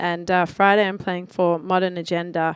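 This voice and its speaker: On a very clean recording with a silent background, a woman with a strong Australian accent speaks fairly quickly in a fairly low, monotone, flat voice. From Australia, Melbourne. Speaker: DJ. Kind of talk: casual radio interview. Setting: radio studio.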